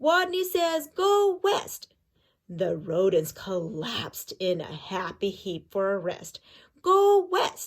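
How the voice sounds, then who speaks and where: A woman's put-on character voice at a very slow pace. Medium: read story.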